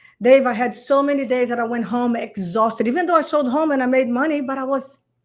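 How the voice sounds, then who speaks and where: A woman's high voice at a fairly quick pace, with ordinary pitch variation and a non-native accent. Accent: foreign. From Brazil. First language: Portuguese. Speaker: real estate coach. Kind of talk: podcast interview answer. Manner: excited, energetic.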